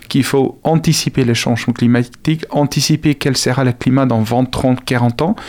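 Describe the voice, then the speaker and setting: In a South African accent, a man speaks at a medium pitch and a moderate pace. His intonation is fairly even. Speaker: agronomy researcher and lecturer. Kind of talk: radio interview. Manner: halting, many repetitions.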